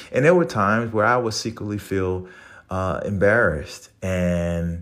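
This speaker has a New Orleans accent, an animated tone and ordinary pitch variation. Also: man. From New Orleans, Louisiana. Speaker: podcast host, Marine Corps veteran. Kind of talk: motivational monologue. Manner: animated, motivational.

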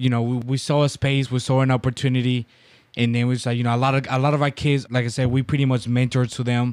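Speaking at a fairly quick pace in a monotone, flat intonation, a man is heard on a very clean recording with a silent background. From Dominican Republic. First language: Spanish. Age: 20s. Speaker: baseball coach and business owner. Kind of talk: casual interview chat. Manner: loud.

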